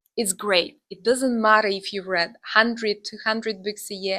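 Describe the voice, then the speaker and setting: With a non-native accent and a bright, sharp tone, the speaker moves at a moderate pace with ordinary pitch variation on a very clean recording with a silent background. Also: woman. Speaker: booktuber. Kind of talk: casual vlog talk to camera. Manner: hesitant, many filler sounds.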